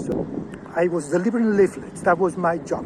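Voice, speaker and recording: Through noticeable background noise, a high-pitched man speaks with a Catalan Spanish accent. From Catalonia, Spain. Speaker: zoologist. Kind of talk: personal talk to camera. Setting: outdoors in a park. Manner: halting.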